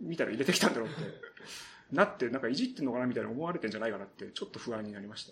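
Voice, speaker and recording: A man's voice shows very wide pitch swings and vocal fry. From Saitama, Japan. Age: 30s. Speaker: radio writer and novelist. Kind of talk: solo podcast talk. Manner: casual, with frequent fillers and laughter. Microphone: poor sound quality.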